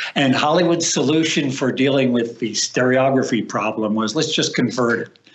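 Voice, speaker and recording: A man with a medium-pitched voice speaks at a moderate pace over noticeable background noise. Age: 70s. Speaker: film stereographer. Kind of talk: interview.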